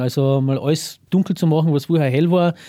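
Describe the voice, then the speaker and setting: This man's voice sits fairly high for a man, with a dark, mellow tone, ordinary pitch variation and a fairly quick pace, on a very clean recording with a silent background. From Carinthia, Austria. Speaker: cameraman and film producer. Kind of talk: casual interview. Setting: small cinema.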